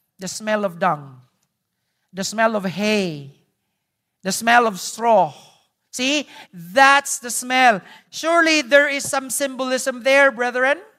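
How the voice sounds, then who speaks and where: Spoken very slowly in a Visayan Filipino accent, the speech has long, frequent pauses over a very clean recording with a silent background. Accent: Filipino (Cebuano) English. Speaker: pastor. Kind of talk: sermon. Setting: church.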